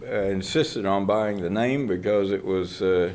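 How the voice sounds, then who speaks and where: With an American accent, a man talks at a fairly slow pace, with audible room echo. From Austin, Texas. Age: 70s. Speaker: archivist and professor. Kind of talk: interview. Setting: archive reading room. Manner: hesitant with frequent fillers.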